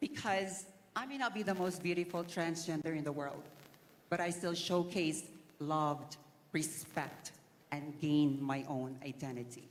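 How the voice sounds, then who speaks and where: A woman's very deep, low voice at a fairly slow pace, with ordinary pitch variation and audible room echo. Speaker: beauty pageant contestant. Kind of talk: pageant interview.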